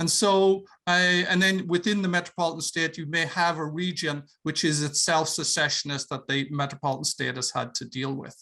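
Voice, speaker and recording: In an Irish accent, a man speaks at a fairly quick pace with a fairly high pitch and a bright, sharp tone. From Ireland. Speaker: professor. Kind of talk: lecture. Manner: halting, many fillers.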